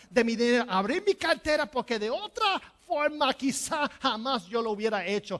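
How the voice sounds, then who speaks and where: A woman with an English accent, high-pitched, with lively intonation at a moderate pace. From New Jersey, Puerto Rican family. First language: English (speaking Spanish). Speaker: pastor. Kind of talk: sermon. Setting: church.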